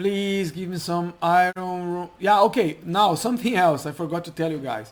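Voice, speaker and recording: At a moderate pace, a man with a non-native accent and a high pitch talks with ordinary pitch variation, on a very clean recording with a silent background. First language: not English. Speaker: game mod developer. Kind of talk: gameplay commentary. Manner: halting, self-correcting.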